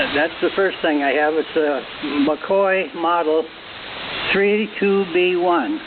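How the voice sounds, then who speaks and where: There is noticeable background noise. A man with a fairly high pitch speaks at a fairly slow pace. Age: 80s+. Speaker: ham radio operator. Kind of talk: radio net check-in. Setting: amateur radio transmission.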